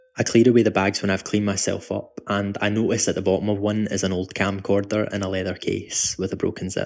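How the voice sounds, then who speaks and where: A man with a Glaswegian accent, fairly low in pitch and at a fairly quick pace, in a very clean recording with a silent background. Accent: Glaswegian Scottish. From Scotland, Glasgow. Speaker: actor and writer. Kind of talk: scripted narration. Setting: home.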